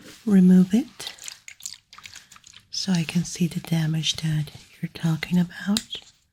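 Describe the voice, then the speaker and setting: The speaker is soft-spoken. The pace is very slow. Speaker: ASMR performer. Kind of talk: ASMR roleplay, personal attention.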